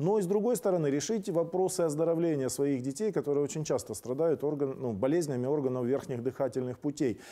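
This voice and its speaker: Over a quiet background, a man with a dark, mellow tone talks very fast, his intonation lively and his loudness very even. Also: hardly any pauses. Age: 50s. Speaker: political talk show host. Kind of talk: monologue commentary. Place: studio. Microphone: lapel.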